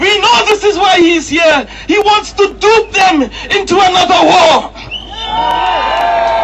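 A man's very slow speech at very even loudness, with crowd noise in the background. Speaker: protest speaker and campaigner. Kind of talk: impassioned open-air rally speech, hammering short repeated slogans. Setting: outdoors at a street protest addressing crowds. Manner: forceful and declamatory, repeating lines for crowd emphasis; occasionally stumbling and repeating words mid-flow. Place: street. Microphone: pa.

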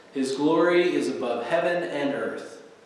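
Amid strong room echo, a man talks at a fairly slow pace. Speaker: pastor. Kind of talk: church announcements and scripture reading. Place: church. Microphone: podium.

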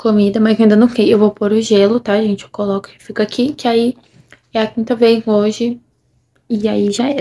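Monotone, flat intonation and a dark, mellow tone come through at a moderate pace. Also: woman. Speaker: vlogger. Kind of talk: casual vlog chat. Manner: stiff, muffled speech from swollen jaw. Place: home room. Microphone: phone near.

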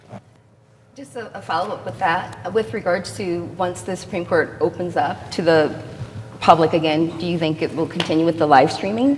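This is an unremarkable speaking voice with lively intonation and a moderate pace. Loudness swings widely, over light background noise. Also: woman, fairly low pitch for a woman. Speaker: civil litigator. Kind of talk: onstage interview. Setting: stage with audience. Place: hall.

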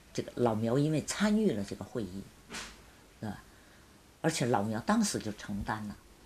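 Over light background noise, a woman with a very deep, low pitch speaks at a moderate pace with lively intonation and long, frequent pauses. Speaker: former student sent to countryside, witness; witness. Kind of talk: interview testimony. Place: home room.

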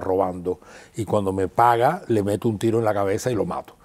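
The tone is dark and mellow. The background is quiet. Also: man. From Cuba, rural Havana province. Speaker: actor and theatre festival director; guest actor. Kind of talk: interview. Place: studio. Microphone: lapel.

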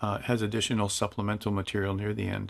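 Here a man talks with a Canadian accent. His pitch is fairly low and his pace fairly quick. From Canada, Toronto. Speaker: flight simulator instructor. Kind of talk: tutorial. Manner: casual, enthusiastic.

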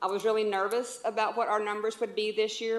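In a Texas accent, a woman speaks at a fairly high pitch. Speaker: youth league volunteer. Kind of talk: public comment at council meeting. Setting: city council chamber. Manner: loud.

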